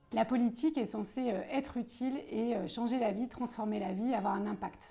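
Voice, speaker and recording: Noticeable background noise fills the clip. A woman talks in a fairly high pitch. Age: 40s. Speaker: political candidate. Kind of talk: interview. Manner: hesitant, many filler sounds.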